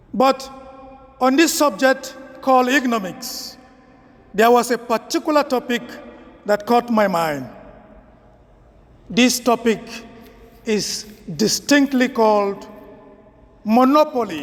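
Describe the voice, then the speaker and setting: With a Nigerian accent, a man speaks fairly slowly at an extremely high pitch, with ordinary pitch variation, very even loudness and long, frequent pauses against noticeable background noise. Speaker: priest. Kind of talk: homily.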